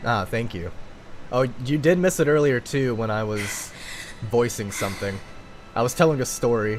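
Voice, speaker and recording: A man at medium pitch with ordinary pitch variation, a moderate pace and long, frequent pauses, over noticeable background noise. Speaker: streamer.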